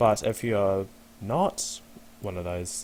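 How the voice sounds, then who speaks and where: The man's pitch is very deep and low. He keeps his intonation fairly even. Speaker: video game tutorial creator. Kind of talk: gameplay tutorial commentary. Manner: hesitant, many fillers.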